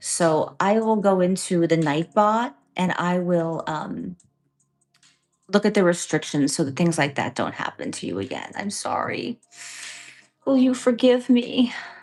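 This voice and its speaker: A woman's lively intonation at a fairly slow pace, with long, frequent pauses and music in the background. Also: medium pitch for a woman. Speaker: live stream host. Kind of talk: casual chat with live chat viewers.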